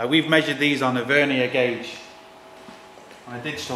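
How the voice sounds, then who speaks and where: A man talks at a moderate pace in a flat monotone. Light background noise and audible room echo are present. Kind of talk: tutorial. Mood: relaxed, jokey. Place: garage.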